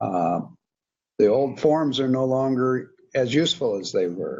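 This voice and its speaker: A man's normal speaking voice at medium pitch, with ordinary pitch variation and a fairly slow pace. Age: 60s. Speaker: spiritual teacher. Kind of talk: interview conversation.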